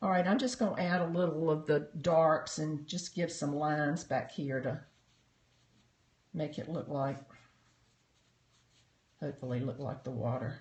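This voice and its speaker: With a North Carolina accent, a man speaks at a fairly high pitch in a somewhat breathy voice, at a moderate pace with ordinary pitch variation and long, frequent pauses. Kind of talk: casual, narrating while painting.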